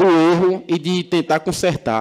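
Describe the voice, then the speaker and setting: A man talks with a fairly high pitch. The background is quiet. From Macajuba, Bahia, Brazil; Bahia, Brazil. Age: 20s. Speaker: city councillor. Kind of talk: heated debate. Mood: combative rebuttal to a colleague. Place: hall. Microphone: podium.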